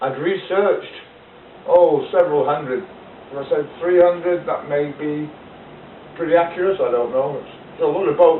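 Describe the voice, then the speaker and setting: At a moderate pace, a man with a high pitch and fairly even intonation speaks with long, frequent pauses over noticeable background noise. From United Kingdom. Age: 60s. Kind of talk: casual talk to camera. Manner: rambling, hesitant.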